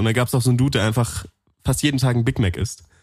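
With normal pitch movement, a man's voice comes across as somewhat breathy. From Allgäu, Bavaria. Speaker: podcast co-host. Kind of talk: casual chat. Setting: studio.

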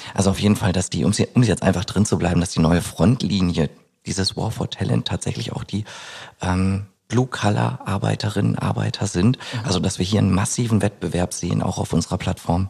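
Fairly quick, lively speech from a man with a very deep, low pitch and vocal fry. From Germany, East Westphalia. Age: 30s. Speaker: labour market expert. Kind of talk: interview conversation. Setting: studio overlooking city skyline.

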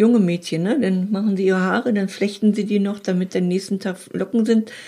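At a moderate pace, a woman speaks in a somewhat breathy, dark, mellow voice of medium pitch with fairly even intonation. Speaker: advice podcast host. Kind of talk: casual chat.

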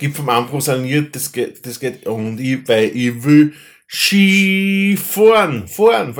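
Speaking very slowly with an Austrian accent, a man uses a fairly high pitch with very wide pitch swings and big swings in loudness. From Austria, Upper Austria (Linz). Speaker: podcast host. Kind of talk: casual chat. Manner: halting.

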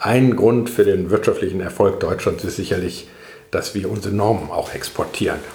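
A man's speech carries audible room echo while noticeable background noise runs throughout. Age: 50s. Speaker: professor. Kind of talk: interview. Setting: institute office.

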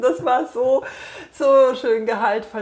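Noticeable background noise sits behind this voice. A woman speaks in a fairly high pitch with lively intonation. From Bavaria, Munich. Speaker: podcast host and coach. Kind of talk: casual interview. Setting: on a couch in a bookshop.

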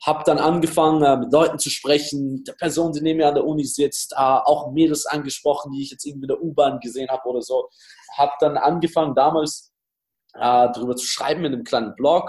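A man with a plain, everyday voice speaks at a fairly quick pace and a fairly high pitch, with fairly even intonation. His loudness swings widely. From Austria, Styria. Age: 20s. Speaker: dating coach. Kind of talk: interview.

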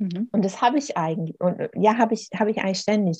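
A woman's voice, dark and mellow in tone and somewhat breathy, recorded dry and close with no echo. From Swabian Jura, southern Germany. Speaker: author. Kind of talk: interview.

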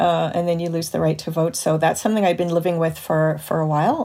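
A woman talks at a fairly quick pace. Her voice is fairly low in pitch, with a dark, mellow tone. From Canada (Montreal). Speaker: film scholar and cultural critic. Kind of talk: casual panel discussion. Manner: uses many fillers, thoughtful.

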